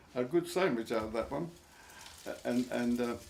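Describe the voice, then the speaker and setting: With an Essex accent, a man speaks at medium pitch. His voice makes very wide pitch swings. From Barking, Essex, England. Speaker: war veteran. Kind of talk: interview answer.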